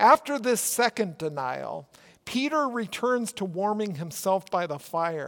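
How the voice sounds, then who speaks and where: A man with a Minnesotan accent speaks at a fairly slow pace in a high pitch, his voice making very wide pitch swings. The recording is very clean, with a silent background. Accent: Minnesota. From Minnesota, US Midwest. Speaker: pastor. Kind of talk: sermon.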